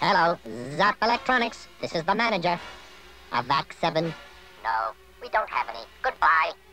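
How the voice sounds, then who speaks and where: Using a cartoonish character voice at a middle pitch, the speaker moves at a moderate pace with long, frequent pauses. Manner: curt, domineering.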